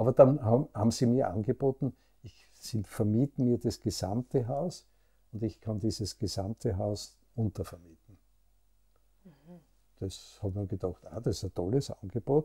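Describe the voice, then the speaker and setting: With a Styrian accent, a man speaks at a moderate pace with long, frequent pauses in a dark, mellow, somewhat breathy tone, the sound dry and close with no echo. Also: medium pitch for a man, ordinary pitch variation. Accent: Austrian German, Styrian. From Austria, Graz (Styria). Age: 70s. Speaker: pharmacist and business owner. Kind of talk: interview. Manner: calm; halting.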